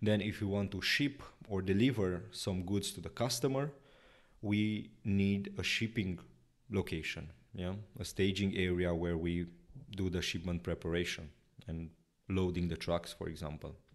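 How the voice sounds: In a very clean recording with a silent background, a man speaks low for a man with fairly even intonation. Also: moderate pace.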